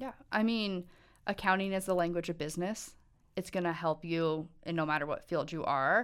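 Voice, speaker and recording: A woman with an American accent and an ordinary speaking voice talks at a fairly low pitch with ordinary pitch variation in a very clean recording with a silent background. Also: moderate pace. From Montana. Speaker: university accounting licensure advisor. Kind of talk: casual interview.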